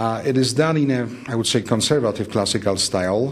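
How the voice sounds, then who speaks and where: A man with a Polish accent, fairly quick pace and ordinary pitch variation. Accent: noticeable Polish. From Poland. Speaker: architect. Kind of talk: interview. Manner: measured, formal.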